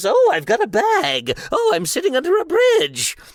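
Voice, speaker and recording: A put-on character voice at extremely high pitch, delivered at a moderate pace. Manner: playful.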